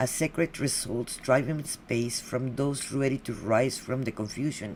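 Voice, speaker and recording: Speaking in a Spanish accent at a moderate pace, a woman with a very deep, low pitch uses ordinary pitch variation. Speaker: podcast host. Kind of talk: guest introduction. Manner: halting.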